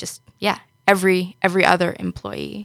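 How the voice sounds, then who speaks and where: In a New York accent, a woman speaks at a fairly slow pace with a fairly low, bright, sharp tone. The recording is very clean, dry and close, with a silent background and no echo. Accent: New York American. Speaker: software engineer. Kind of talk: podcast panel discussion. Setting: studio.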